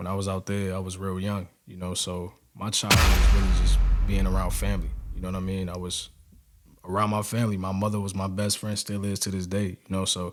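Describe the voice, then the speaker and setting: A man with a New York accent talks fairly quickly in a very deep, low pitch and a flat, monotone delivery, music playing in the background. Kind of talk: interview storytelling.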